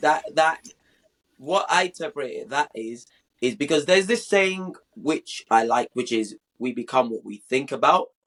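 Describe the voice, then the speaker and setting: Heard dry and close with no echo, a man with a British accent uses a fairly high pitch, very wide pitch swings and big swings in loudness. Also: moderate pace. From London, England. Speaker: podcast guest. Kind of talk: casual interview.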